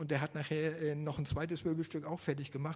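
A man with a fairly high pitch speaks at a very fast pace, sounding somewhat breathy. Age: 50s. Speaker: lay preacher. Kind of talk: sermon. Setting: church.

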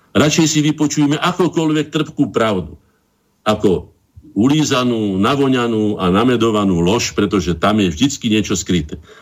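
With very wide pitch swings, the man keeps to a moderate pace. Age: 60s. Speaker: painter and cultural association chairman. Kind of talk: radio interview.

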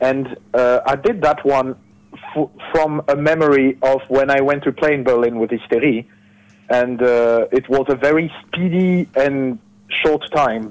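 A man with a French accent speaks at a fairly high pitch, his loudness very even and his pitch variation ordinary. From France. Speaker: musician. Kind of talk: interview. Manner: halting.

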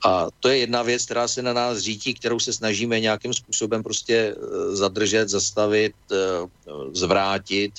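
The speech moves at a fairly slow pace in a flat monotone. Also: man, fairly low pitch for a man. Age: old. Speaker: politician, former diplomat and geologist. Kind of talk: radio interview.

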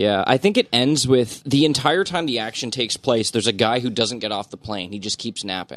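With an ordinary speaking voice, a man talks at a fairly quick pace with lively intonation, the sound dry and close with no echo against a quiet background. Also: medium pitch for a man. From Ontario, Canada. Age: 30s. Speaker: podcast panelist. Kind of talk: casual chat.

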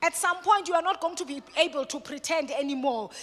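A woman projects a raised voice with lively intonation at a moderate pace. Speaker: guest speaker on mental health at a church. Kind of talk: sermon-style teaching talk. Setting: church with congregation. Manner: swift.

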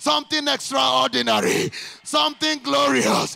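With noticeable background noise behind him, a man speaks fairly slowly in an animated tone. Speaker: pastor. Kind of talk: sermon. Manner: loud.

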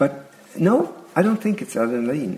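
A man with very wide pitch swings amid noticeable background noise. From Sweden (Järna, near Stockholm). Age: 50s. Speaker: Waldorf teacher. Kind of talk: interview.

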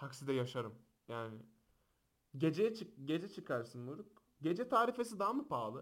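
Animated in tone, a man speaks at a fairly high pitch and moderate pace, his pitch swinging very widely. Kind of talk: casual chat. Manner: loud.

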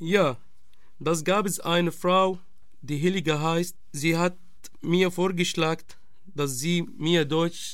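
With an Arabic accent, a man speaks at a very slow pace and a high pitch, using ordinary pitch variation and long, frequent pauses. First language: Arabic (speaking German). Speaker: refugee, radio project member. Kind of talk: testimony.

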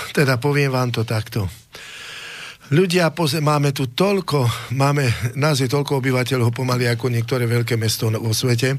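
Here is a man with an unremarkable speaking voice. He holds a medium pitch at a moderate pace. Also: very even loudness. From Slovakia. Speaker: singer and nationalist party figure. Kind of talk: studio talk show discussion.

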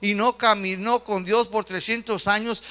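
A man's raised, projected voice sits high in pitch, with a bright, sharp tone. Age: young. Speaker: pastor. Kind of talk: sermon. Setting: church.

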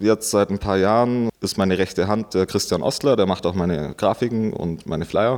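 A man speaks at a moderate pace with ordinary pitch variation in a plain, everyday voice. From Bavarian Swabia, rural Augsburg district. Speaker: DJ and event promoter. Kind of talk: interview. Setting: club venue.

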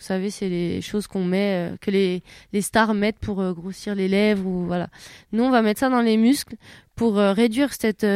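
A woman speaks with a medium pitch and fairly even intonation. The recording is very clean with a silent background and a dry, close sound with no echo. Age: 20s. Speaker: wheelchair basketball player. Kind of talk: interview. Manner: halting.

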